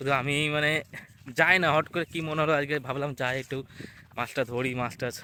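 A man's fairly high-pitched voice, bright and sharp in tone, with fairly even intonation. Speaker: vlogger. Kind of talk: casual vlog narration. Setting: outdoors, walking through fields to a river.

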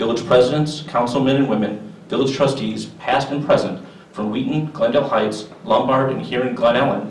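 A man speaks at a moderate pace and medium pitch with fairly even intonation and few pauses, his voice carrying strong room echo.

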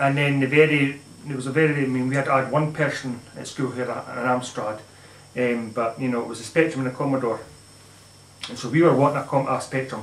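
In a room with audible echo, a man speaks at a fairly quick pace with fairly even intonation. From Scotland or Northern Ireland. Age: 30s. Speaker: gaming YouTuber. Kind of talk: casual vlog monologue. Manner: halting. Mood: nostalgic, relaxed. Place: home room. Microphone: camera far.

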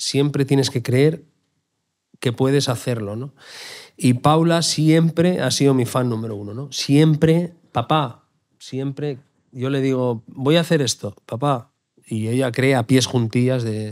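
Over a silent background in a very clean recording, a man talks at a fairly slow pace with a medium pitch. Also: ordinary pitch variation. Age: 40s. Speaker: chef. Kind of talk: interview. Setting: live event venue. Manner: halting, frequent repetitions.

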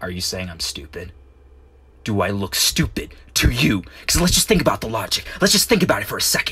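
Using a put-on character voice, a man with a fairly low pitch talks at a fairly quick pace. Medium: dub. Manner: menacing, threatening.

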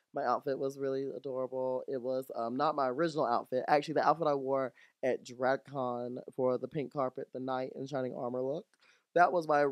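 Against a quiet background, a man talks at a fairly quick pace with monotone, flat intonation in a dry sound with no echo. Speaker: drag performer reviewing a season. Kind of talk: casual podcast storytelling. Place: home room. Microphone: studio mic.

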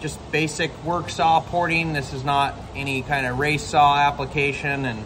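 A man speaks with fairly even intonation amid noticeable background noise. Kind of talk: casual tutorial chat. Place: workshop.

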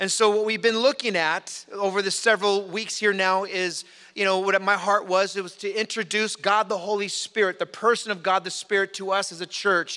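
Raised and projected, a man's voice has a bright, sharp tone and monotone, flat intonation at a moderate pace over a quiet background. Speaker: pastor. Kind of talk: sermon. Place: church. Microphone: podium.

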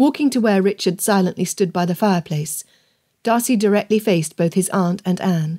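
Pitch variation is ordinary in this unforced reading voice. Behind it, all is quiet.

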